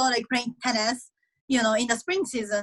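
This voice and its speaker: With a Japanese accent, a woman speaks at a high pitch in a dry, close sound with no echo. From Japan, Aichi. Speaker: college tennis player. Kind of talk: interview.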